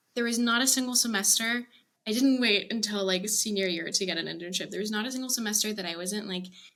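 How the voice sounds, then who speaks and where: A woman with an American accent talks at a very fast pace and a fairly high pitch. Her pitch variation is ordinary, and there is audible room echo. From Argentina, Buenos Aires, then Texas from age 14. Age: 20s. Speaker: art director. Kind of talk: podcast interview. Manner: animated, talkative.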